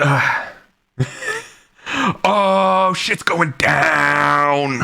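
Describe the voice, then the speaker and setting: The speaker shouts in a put-on character voice. The pitch sits at a low-to-middle level. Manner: yelling, alarmed.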